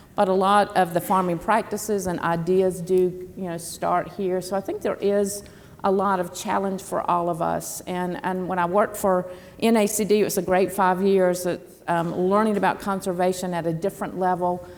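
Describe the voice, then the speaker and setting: With a Southern US accent, a woman speaks at a moderate pace and medium pitch in a monotone, flat intonation. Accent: Southern US (Georgia). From US South, southern Georgia. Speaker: former government official, panelist. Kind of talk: panel discussion. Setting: stage with audience.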